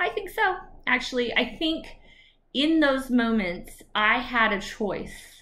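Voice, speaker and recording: Projected and raised, a woman's high, bright, sharp voice with an American accent swings very widely in pitch at a very slow pace. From Texas. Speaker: attorney and YouTuber. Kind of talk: personal story vlog. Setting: video recorded alone. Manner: casual, animated. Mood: earnest, emphatic, inspirational. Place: home room. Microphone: webcam.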